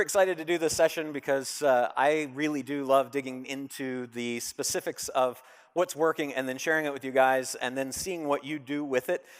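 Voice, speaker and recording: A man is speaking. His pitch sits fairly high. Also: very clean recording, silent background. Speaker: conference speaker on Amazon selling. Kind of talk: conference presentation. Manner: fast.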